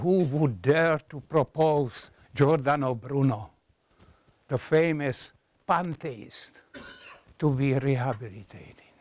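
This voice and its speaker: A man with a Czech accent at a very slow pace, long and frequent pauses, ordinary pitch variation, and a dry sound with no echo. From Czechoslovakia (Moravia). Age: 80s+. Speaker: professor. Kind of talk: lecture. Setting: classroom with audience. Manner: halting. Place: classroom.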